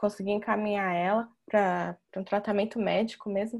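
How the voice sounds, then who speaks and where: At a fairly slow pace, a woman talks in an ordinary speaking voice pitched fairly high. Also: quiet background. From São Paulo state, Brazil. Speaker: chiropractor, moderator. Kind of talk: online panel conversation. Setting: video call.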